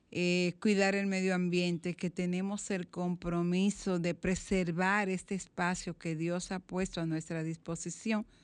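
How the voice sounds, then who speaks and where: The background is quiet. A woman with a fairly low pitch speaks at a fairly slow pace. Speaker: radio host. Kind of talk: radio magazine chat and commentary. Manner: animated.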